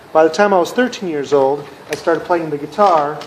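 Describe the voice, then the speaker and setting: Over noticeable background noise, a man with an American accent speaks at a moderate pace in a high pitch with ordinary pitch variation. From US Midwest, Minnesota. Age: 40s. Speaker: music collector, video creator. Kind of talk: personal monologue to camera.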